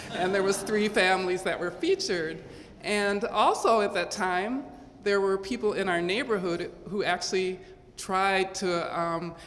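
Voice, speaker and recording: With an American accent, a woman talks at a fairly slow pace and medium pitch with fairly even intonation, amid noticeable background noise and audible room echo. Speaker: award recipient. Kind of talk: speech.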